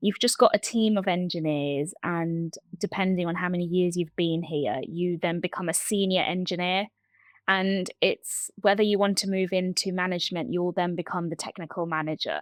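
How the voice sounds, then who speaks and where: The recording is very clean with a silent background, carrying a woman's fairly low voice. Her intonation stays fairly even at a moderate pace. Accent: London. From London. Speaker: TV support engineer. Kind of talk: interview. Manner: hesitant, many fillers.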